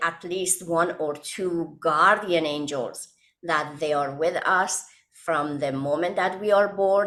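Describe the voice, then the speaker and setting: Speaking with an Iranian accent, a woman talks at a very slow pace. Her pitch varies in an ordinary way. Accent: Iranian (Persian). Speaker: author and hypnotherapist. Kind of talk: podcast interview. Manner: halting.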